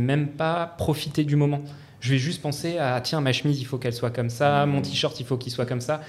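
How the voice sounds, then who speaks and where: A man talks at a very fast pace with a fairly high pitch. His intonation is fairly even. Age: 30s. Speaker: civil society advisor. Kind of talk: casual chat.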